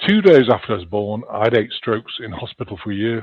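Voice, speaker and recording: This man speaks at a fairly quick pace with a slight Liverpool accent. His pitch sits in the medium range. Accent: slight Liverpool twang. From northern England, Chester near Liverpool. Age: 60s. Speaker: spiritual healer and author. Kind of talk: interview storytelling. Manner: halting, many fillers.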